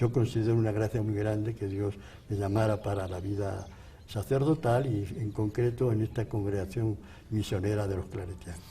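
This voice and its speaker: Somewhat breathy and dark, mellow in tone, a man speaks at a fairly low pitch. His intonation is fairly even and his pace moderate. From Spain. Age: 80s+. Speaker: priest, missionary. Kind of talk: interview testimony.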